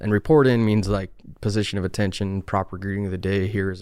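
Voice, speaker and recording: Fairly low in pitch, a man talks at a very fast pace in a monotone, flat intonation. The recording is very clean with a silent background. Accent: Utah. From Utah. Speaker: HVAC technician, Marine veteran. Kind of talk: casual interview.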